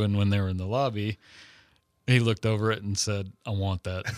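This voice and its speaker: In a very clean recording with a silent background and a dry, close sound with no echo, a man with an American accent has an ordinary speaking voice, fairly low in pitch with fairly even intonation. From Texas. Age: 40s. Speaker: airbrush artist. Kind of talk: interview.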